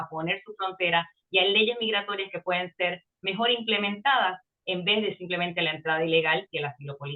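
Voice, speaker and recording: A woman's medium-pitched voice, varying in pitch in an ordinary way, races along at a very fast pace. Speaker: immigration lawyer. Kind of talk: interview.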